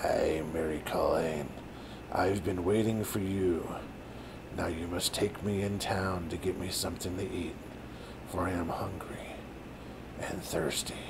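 Whispering in a put-on character voice, a man speaks at a moderate pace against loud background noise. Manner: evil, whispering.

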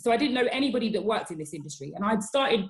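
The voice of a woman sounds somewhat breathy. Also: quiet background. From England, Ghanaian family. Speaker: diversity and inclusion executive. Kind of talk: interview. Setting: video call. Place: home room. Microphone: webcam.

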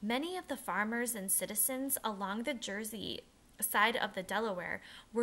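This is an unforced reading voice. Its pitch varies in the ordinary way.

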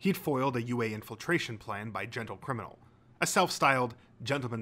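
The voice reads naturally. Pitch moves up and down in an ordinary way.

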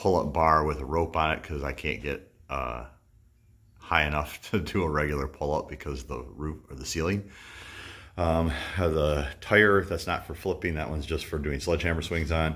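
A man's very deep, low voice with vocal fry, fairly even intonation and a moderate pace against a quiet background. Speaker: fitness vlogger. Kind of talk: casual vlog chat. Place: garage. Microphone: phone near.

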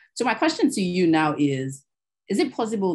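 The woman's tone is dark and mellow. She keeps a moderate pace against a quiet background. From Nigeria. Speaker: webinar moderator, sustainability professional; webinar moderator. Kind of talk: moderated panel discussion. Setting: video call. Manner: formal. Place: home room. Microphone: webcam.

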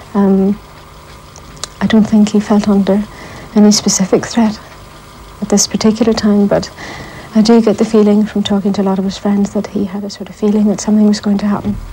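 At a fairly quick pace, a woman talks in a flat, monotone way over light background noise. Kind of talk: interview answer. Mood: grieving, subdued. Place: home room.

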